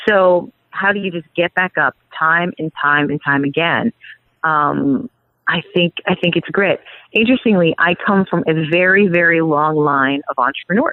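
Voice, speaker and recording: A woman's fairly low voice with lively intonation and a New York accent. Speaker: PR expert and agency CEO. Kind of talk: podcast interview.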